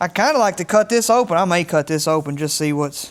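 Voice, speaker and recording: Mumbling man with a high pitch, lively intonation and a moderate pace over noticeable background noise. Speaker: DIY mechanic YouTuber. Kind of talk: casual work narration. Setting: home workshop.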